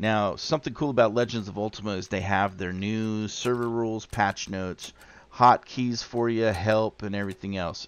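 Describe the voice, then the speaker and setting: A man with a plain, everyday voice speaks at a fairly quick clip in a fairly low pitch against a quiet background. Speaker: gaming youtuber. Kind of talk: tutorial. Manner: casual.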